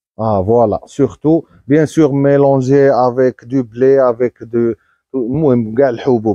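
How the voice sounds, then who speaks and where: With a Moroccan accent, a man speaks very slowly at a medium pitch in a dark, mellow tone, his intonation fairly even and his loudness very even, in a dry, close recording with no echo. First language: Moroccan Arabic (speaking French). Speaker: livestock breeder. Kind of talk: casual vlog. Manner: halting.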